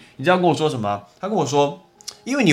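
Music plays in the background. The speech moves at a very fast pace. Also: man. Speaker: podcast host, English teacher. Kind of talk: casual educational monologue. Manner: animated.

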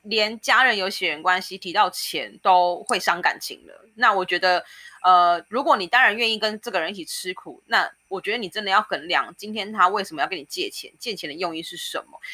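Bright, sharp tone from a woman at medium pitch, fairly quick with hardly any pauses, big swings in loudness, on a very clean recording with a silent background. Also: ordinary pitch variation. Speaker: podcast co-host. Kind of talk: casual chat.

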